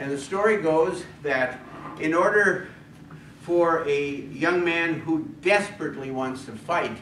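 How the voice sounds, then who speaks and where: Room echo and noticeable background noise can be heard as a man speaks at a fairly slow pace. His pitch is high, with ordinary variation. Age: 70s. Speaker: retired pastor and civil war reenactor. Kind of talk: talk at a club meeting. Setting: club meeting with audience.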